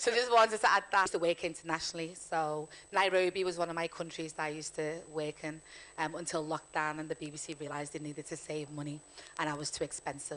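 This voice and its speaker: At a very fast pace, a woman with a Liverpool accent talks in a very deep, low pitch, her intonation fairly even. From Liverpool, England. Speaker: panelist, former broadcaster. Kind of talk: panel discussion. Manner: halting.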